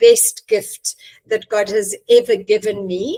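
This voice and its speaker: There is an ordinary speaking voice from a woman with a fairly high pitch, fairly even intonation and a fairly slow pace, in a dry, close sound with no echo. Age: 60s. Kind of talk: podcast interview.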